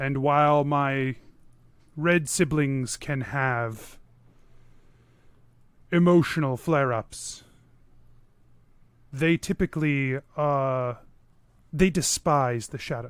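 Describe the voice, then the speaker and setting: Using a put-on character voice, a man speaks at a fairly slow pace with fairly high pitch and long, frequent pauses. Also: very clean recording, silent background. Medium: actual play. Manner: formal, measured, archaic.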